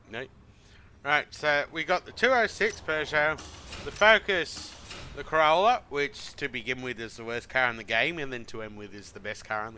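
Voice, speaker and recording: With an Australian accent, the speaker moves at a moderate pace, with very wide pitch swings and big shifts in loudness. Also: man, fairly high pitch for a man. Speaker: video game streamer. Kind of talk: casual gameplay commentary.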